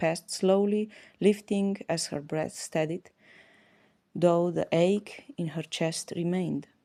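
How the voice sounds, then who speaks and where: Dark and mellow in tone, a woman speaks at a fairly low pitch with an Eastern European accent. Her intonation stays fairly even at a fairly slow pace, in a very clean recording with a silent background. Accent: Slavic. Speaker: audiobook narrator. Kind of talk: audiobook reading.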